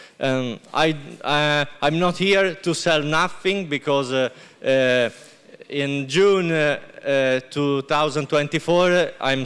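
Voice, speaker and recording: Someone talks with an Italian accent at a very slow pace. The pitch varies in an ordinary way. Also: man. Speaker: winemaker. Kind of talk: product presentation. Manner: halting.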